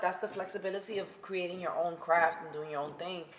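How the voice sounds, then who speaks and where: A woman talks at a very fast pace and a medium pitch. Background noise is noticeable. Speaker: podcast co-host. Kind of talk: interview. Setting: in-person studio recording.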